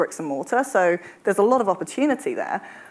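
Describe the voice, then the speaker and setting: A woman with a British accent, medium pitch and lively intonation at a moderate pace, on a very clean recording with a silent background. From UK. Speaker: travel industry executive. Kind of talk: panel discussion.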